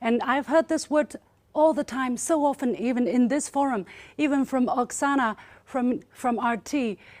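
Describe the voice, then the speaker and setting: In a Chinese accent, a woman speaks at a moderate pace with a high pitch and ordinary pitch variation. The recording is very clean, with a silent background. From China. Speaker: state media journalist. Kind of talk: panel debate speech. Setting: forum with audience. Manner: animated.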